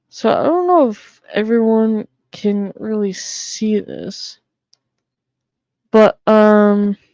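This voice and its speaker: A woman with an American accent, fairly high in pitch yet dark and mellow in tone, at a very slow pace with long, frequent pauses and ordinary pitch variation, in a dry, close sound with no echo. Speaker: streamer. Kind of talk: casual livestream chat. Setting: live stream.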